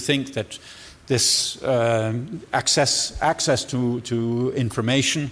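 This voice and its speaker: Pitched in the medium range, a man speaks with fairly even intonation. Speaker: agency director, keynote speaker. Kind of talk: conference Q&A. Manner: halting, many repetitions and fillers.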